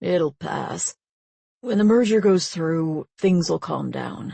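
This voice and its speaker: A woman speaks very slowly in a gravelly, put-on character voice pitched fairly low. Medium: read story.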